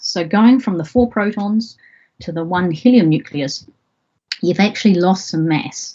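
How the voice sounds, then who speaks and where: Somewhat breathy and with a New Zealand accent, the voice moves at a fairly slow pace with lively intonation. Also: woman. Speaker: astrophysicist, university lecturer. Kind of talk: public science lecture.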